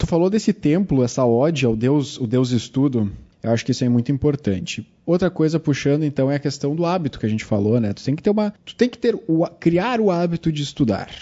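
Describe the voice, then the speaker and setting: Fairly quick delivery with very wide pitch swings. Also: man, fairly high pitch for a man. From Rio Grande do Sul, Brazil (Cachoeirinha). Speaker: chemistry teacher, podcast host. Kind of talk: casual chat.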